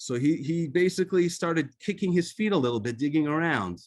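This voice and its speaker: Speaking with an Israeli accent, a man lets his pitch swing very widely. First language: Hebrew. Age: 50s. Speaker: author. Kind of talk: talk. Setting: video call. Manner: halting.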